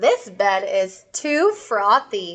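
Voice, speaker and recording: A woman puts on a character voice. Her pitch is fairly high. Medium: read story.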